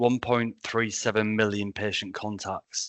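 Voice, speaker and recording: With a Yorkshire accent, a man talks at a fairly slow pace, his medium pitch carrying fairly even intonation. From Yorkshire, northern England. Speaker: senior nurse. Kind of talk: online presentation.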